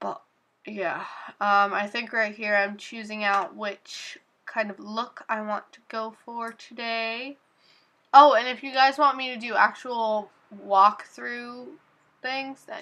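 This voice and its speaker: A woman speaks very slowly at a fairly high pitch against a quiet background. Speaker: beauty vlogger. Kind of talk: tutorial voiceover. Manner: casual, many fillers.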